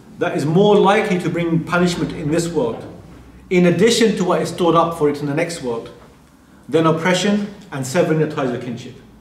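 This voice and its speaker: Audible room echo surrounds a man who speaks at a high pitch. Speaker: religious teacher. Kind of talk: lecture. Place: hall.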